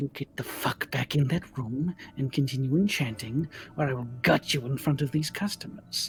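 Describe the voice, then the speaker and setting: This man uses a put-on character voice at a medium pitch, delivered at a moderate pace. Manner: menacing, snarling.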